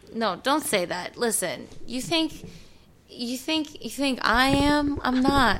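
Loud and high-pitched, a woman with an American accent speaks with lively intonation. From US East Coast. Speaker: TV host. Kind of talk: casual chat. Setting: studio. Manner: fast talker.

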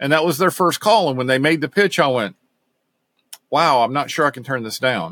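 Talking at a fairly quick pace with long, frequent pauses, a man uses lively intonation in a fairly high, bright, sharp voice, the sound dry and close with no echo. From US South, Knoxville, Tennessee. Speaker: technical services director and bike racing mechanic. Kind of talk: interview.

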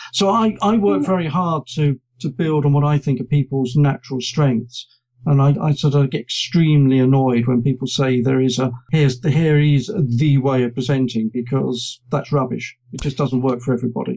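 This man has a British accent and a dark, mellow tone, speaking at a moderate pace with fairly high pitch and a somewhat breathy sound. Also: ordinary pitch variation. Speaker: journalist and presentation trainer. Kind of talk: casual interview chat.

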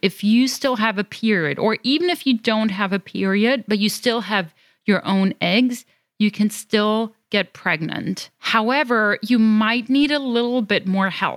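Fairly slow speech from a woman with a European accent, fairly high in pitch with ordinary pitch variation, dry and close with no echo on a very clean recording with a silent background. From Germany. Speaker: fertility coach. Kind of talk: interview.

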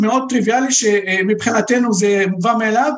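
Room echo is audible around the speaker. A man talks at a moderate pace. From Lebanon, Beirut. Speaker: Middle East researcher. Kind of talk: interview.

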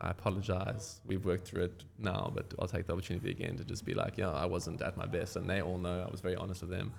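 Very fast and somewhat breathy, a man talks in a very deep, low pitch with fairly even intonation. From Cape Town, South Africa. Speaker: surfboard shaper. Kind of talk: casual interview. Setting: surf shop.

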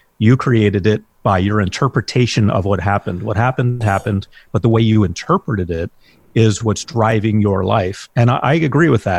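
The voice is somewhat breathy and fairly quick, with ordinary pitch variation. It is recorded dry and close, without echo. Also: man. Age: 50s. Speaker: hypnotherapist. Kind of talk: interview.

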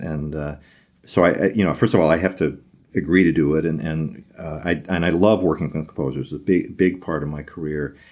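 A man with an American accent talks at a very fast pace against a quiet background. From Virginia, US. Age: 60s. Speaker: trumpet professor. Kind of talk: casual interview.

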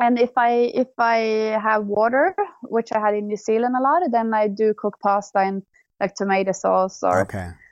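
A woman with a Swedish accent talks in a fairly high pitch with fairly even intonation. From Sweden. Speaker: bike tourist. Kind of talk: interview. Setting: remote call.

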